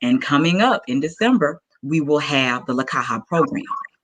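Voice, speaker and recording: An American accent marks this woman's very deep, low voice, which moves through very wide pitch swings. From US South, Arkansas. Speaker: entrepreneur pitching her business. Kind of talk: pitch presentation.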